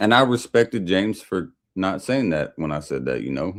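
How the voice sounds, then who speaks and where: Vocal fry colors a man's voice with an American accent. His intonation is lively. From US Midwest/Upper South mix. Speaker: livestreamer. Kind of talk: casual livestream chat while drinking. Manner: casual, profane.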